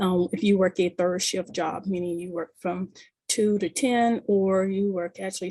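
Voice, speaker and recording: Soft-spoken and somewhat breathy, a woman with a medium-pitched voice talks at a moderate pace. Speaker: community service provider. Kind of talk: community meeting presentation. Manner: halting, many fillers.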